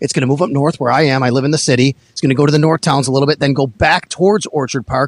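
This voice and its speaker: Delivered at a very fast pace, the speech has ordinary pitch variation and a dry, close sound with no echo. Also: man. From Buffalo. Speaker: sports reporter. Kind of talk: casual chat. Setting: phone call.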